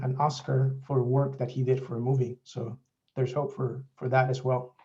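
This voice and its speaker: Moderate pace from a man, his tone dark, mellow and somewhat breathy. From Mexico. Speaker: software developer. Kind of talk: presentation.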